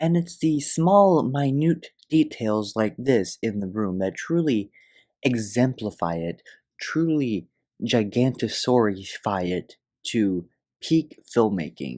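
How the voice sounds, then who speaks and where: Quiet and very slow, a man with a dark, mellow tone speaks at medium pitch with very wide pitch swings. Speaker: comedy film reviewer. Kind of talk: comedic video review narration. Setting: at home, others asleep. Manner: talking quietly.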